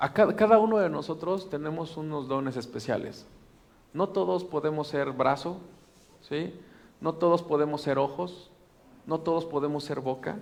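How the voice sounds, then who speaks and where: Speaking with a Mexican accent, a man uses a fairly high pitch with ordinary variation at a moderate pace. His pauses are long and frequent. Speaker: pastor. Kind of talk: sermon. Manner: animated.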